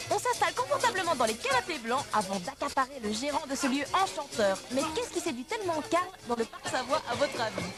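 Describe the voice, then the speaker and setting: A woman with a high pitch speaks at a fairly quick pace with very wide pitch swings while music plays in the background. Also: hardly any pauses. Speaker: TV reporter and narrator. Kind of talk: TV reporter interviewing.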